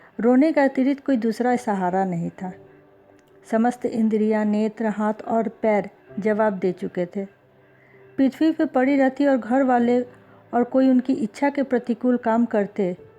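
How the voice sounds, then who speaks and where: Noticeable background noise accompanies a woman with a fairly high pitch and ordinary pitch variation. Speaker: audiobook narrator. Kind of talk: audiobook story reading.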